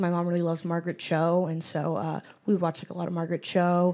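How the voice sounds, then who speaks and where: A woman with an American accent speaks at a very fast pace in a fairly low, dark, mellow voice. The recording is very clean, with a silent background. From Western Massachusetts. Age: 20s. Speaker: stand-up comedian. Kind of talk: casual chat. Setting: studio.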